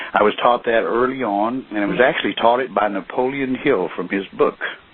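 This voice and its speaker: A man talks at a fairly quick pace and medium pitch with lively intonation. Noticeable background noise is present. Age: 60s. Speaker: network marketing distributor. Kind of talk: conference call talk. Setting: phone call.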